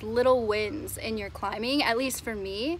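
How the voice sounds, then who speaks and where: The intonation is lively. The sound is dry with no echo, over light background noise. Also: woman. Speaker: climbing vlogger. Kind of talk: casual vlog chat. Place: street. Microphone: phone near.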